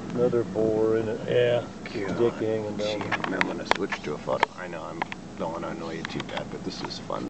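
Over loud background noise, a man speaks with ordinary pitch variation. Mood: amused, excited. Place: car. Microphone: phone near.

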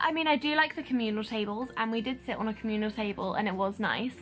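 A woman at a fairly quick pace over faint music in the background. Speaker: vlogger. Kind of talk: casual vlog review chat. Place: home room. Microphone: phone near.

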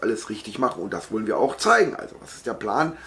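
With a fairly bright tone and lively intonation, a man talks at a fairly quick pace.

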